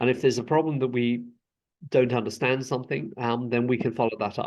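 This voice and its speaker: This man has a British accent and a medium pitch. He talks at a very fast pace with fairly even intonation. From UK. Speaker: school inspector. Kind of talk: interview. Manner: hesitant, many repeated words.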